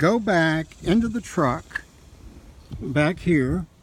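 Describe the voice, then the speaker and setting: At a very slow pace, a man speaks in a fairly high pitch with ordinary pitch variation. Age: 60s. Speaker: vehicle owner reviewing his truck. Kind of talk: casual video review. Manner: hesitant, many fillers.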